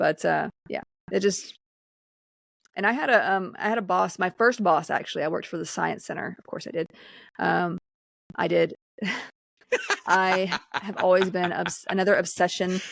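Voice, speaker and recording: On a very clean recording with a silent background and a dry, close sound with no echo, a woman with a Southern US accent speaks with long, frequent pauses. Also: moderate pace. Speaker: podcast co-host. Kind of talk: casual chat.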